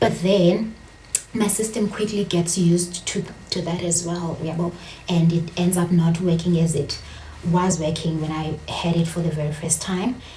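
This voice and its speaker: A woman's fairly low voice in a South African accent, flat and monotone at a moderate pace, with noticeable background noise and audible room echo. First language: Xhosa. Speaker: vlogger. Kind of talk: casual vlog monologue. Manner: code-switching, hesitant with fillers.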